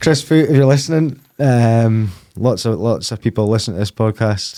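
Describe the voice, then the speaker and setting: There's a dark, mellow tone to this man's voice, which carries a Scottish accent. He keeps a moderate pace with ordinary pitch variation. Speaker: podcast host. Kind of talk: casual podcast interview. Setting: studio.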